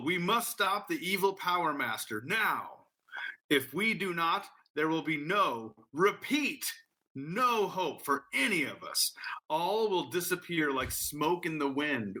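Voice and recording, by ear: A man performs a put-on character voice that is squeaky and robotic, high in pitch, at a fairly slow pace.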